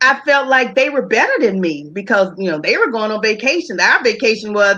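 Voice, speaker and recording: A woman speaks with a bright, sharp tone. Her pitch swings very widely. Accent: Southern US. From US South, Charlotte, North Carolina. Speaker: talk show guest. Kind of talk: interview, personal story.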